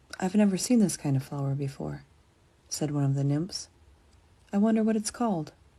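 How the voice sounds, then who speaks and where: On a very clean recording with a silent background, a woman with an American accent speaks in a very deep, low pitch, her dark, mellow tone somewhat breathy, with lively intonation and long, frequent pauses. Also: fairly quick pace. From USA. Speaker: storyteller reading for learners. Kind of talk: reading aloud.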